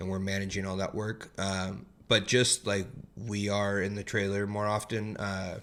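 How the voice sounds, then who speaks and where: At a moderate pace, a man with an American accent speaks in a fairly low, monotone voice with flat intonation. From US West Coast, San Jose, California. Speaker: construction project manager. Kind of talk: casual chat.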